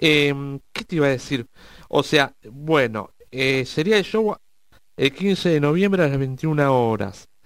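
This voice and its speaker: Over a silent background in a very clean recording, a man with a fairly high pitch speaks at a very slow pace, using lively intonation and long, frequent pauses. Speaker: radio host. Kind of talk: interview.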